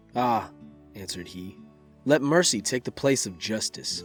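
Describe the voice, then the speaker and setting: With music playing in the background, a man with a medium-pitched voice speaks at a moderate pace with lively intonation. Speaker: voice actor. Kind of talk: bedtime story reading.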